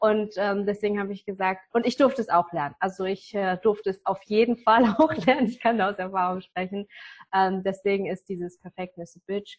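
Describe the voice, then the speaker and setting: A woman has a plain, everyday voice, its pitch varying in an ordinary way as she talks at a moderate pace. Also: medium pitch for a woman. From northern Germany. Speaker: business coach. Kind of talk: interview.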